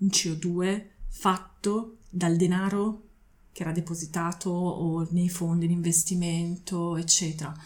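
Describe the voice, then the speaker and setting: A woman's fairly low, somewhat breathy voice keeps a fairly even intonation. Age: 40s. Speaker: zero-waste advocate. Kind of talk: casual chat. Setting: at her home.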